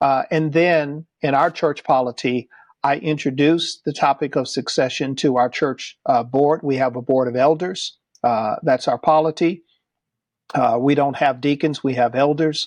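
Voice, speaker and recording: A man talks at a moderate pace with a fairly high pitch, fairly even intonation and very even loudness. The background is quiet. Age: 60s. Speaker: pastor. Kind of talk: podcast interview. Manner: hesitant fillers.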